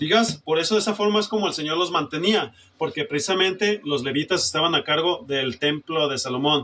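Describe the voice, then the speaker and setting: Noticeable background noise runs under this clip. A man with a fairly high voice talks at a fairly quick pace with lively intonation. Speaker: preacher. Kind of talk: sermon. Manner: forceful, emphatic.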